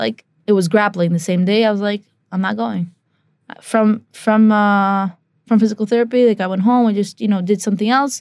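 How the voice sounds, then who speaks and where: With fairly even intonation and a medium pitch, a woman speaks in a normal speaking voice at a moderate pace. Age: 20s. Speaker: professional Muay Thai and kickboxing fighter. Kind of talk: interview.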